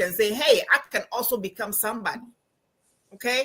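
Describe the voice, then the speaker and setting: A woman speaks with a Ghanaian accent at a moderate pace. Her tone is bright and sharp. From Ghana, Accra. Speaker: professor and financial coach. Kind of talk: interview. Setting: live stream. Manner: animated.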